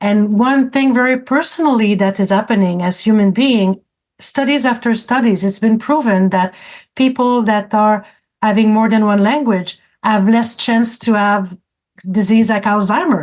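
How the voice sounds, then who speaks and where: With a French accent, a woman talks at a moderate pace, her loudness very even and her pitch variation ordinary. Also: fairly high pitch for a woman, quiet background. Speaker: francophone community advocate. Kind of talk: radio interview. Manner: halting, with many repetitions.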